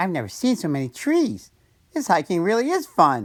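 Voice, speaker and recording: A put-on character voice in an upbeat, excited tone at a moderate pace, on a very clean recording with a silent background. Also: man, high pitch for a man. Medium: read story.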